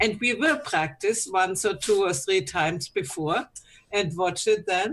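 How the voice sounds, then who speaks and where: A woman speaks at a fairly slow pace with a non-native accent. Her pitch swings very widely. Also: medium pitch for a woman. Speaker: solopreneur, conference speaker. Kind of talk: casual group chat.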